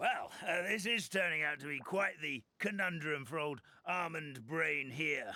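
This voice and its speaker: Using a put-on character voice, a man sounds raspy at a fairly high pitch, with ordinary pitch variation and a moderate pace. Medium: video game. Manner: warm, folksy, chuckling.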